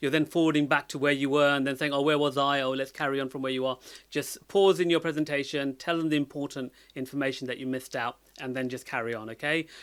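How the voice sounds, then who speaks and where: The recording is very clean, with a silent background. A man with a fairly high pitch talks at a very fast pace with fairly even intonation. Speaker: data analytics educator. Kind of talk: tutorial. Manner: many fillers and hesitations.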